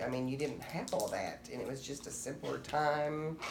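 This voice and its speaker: A woman speaks at a fairly slow pace in a very deep, low voice. Audible room echo surrounds her. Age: 60s. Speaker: interviewee. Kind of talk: interview.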